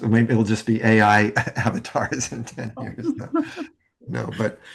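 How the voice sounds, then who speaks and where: A man speaks at a fairly slow pace in a medium pitch. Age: 70s. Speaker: NLP trainer and leadership teacher. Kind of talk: online webinar closing remarks.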